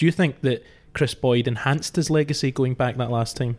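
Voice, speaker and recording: A man speaks in a normal speaking voice at medium pitch. His pace is fairly quick and his intonation fairly even. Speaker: podcast host. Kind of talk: sports podcast discussion, presenting.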